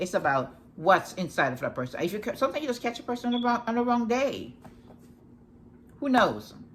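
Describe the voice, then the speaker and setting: This woman talks at a fairly quick pace in a medium pitch, with very wide pitch swings. Her tone is bright and sharp, with vocal fry. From Jamaica. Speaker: life coach. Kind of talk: casual talk to camera. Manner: fast; halting, many restarts.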